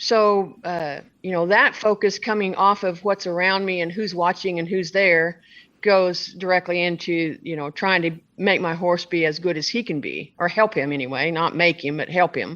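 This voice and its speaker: Over a quiet background, a woman uses a normal speaking voice, fairly low in pitch, at a moderate pace with ordinary pitch variation. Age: 60s. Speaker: barrel racer and horse trainer. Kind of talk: interview answer. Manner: casual, conversational.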